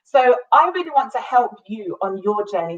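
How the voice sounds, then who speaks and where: With a British accent, a woman talks at a fairly quick pace, using a fairly high pitch and lively intonation. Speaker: business coach and entrepreneur. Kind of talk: live-streamed business talk. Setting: live online video stream.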